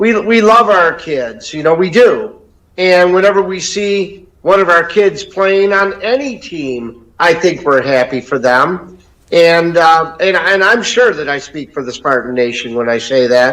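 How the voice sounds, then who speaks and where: With an American accent, a man speaks at a high pitch. His pace is fairly slow and his intonation lively. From Detroit area, Michigan. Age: 60s. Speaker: caller, sports fan. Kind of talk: call-in chat.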